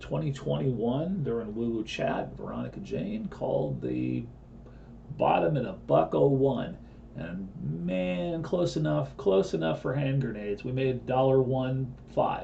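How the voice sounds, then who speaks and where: Very wide pitch swings ride over noticeable background noise, with audible room echo in the space. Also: man. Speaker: crypto trading analyst. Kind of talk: live trading broadcast.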